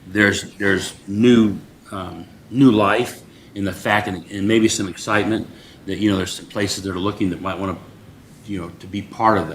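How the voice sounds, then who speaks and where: A man with a fairly low voice speaks at a moderate pace in a flat monotone, his loudness swinging widely, with audible room echo around him. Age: 60s. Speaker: city board member. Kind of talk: public meeting discussion. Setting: city board meeting. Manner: halting, many fillers.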